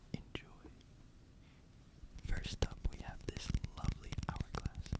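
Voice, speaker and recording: Whispering at a very slow pace, the speaker keeps a calm tone. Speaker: ASMR creator. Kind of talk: ASMR video. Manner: whispered; soft, calm, relaxing. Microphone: studio mic.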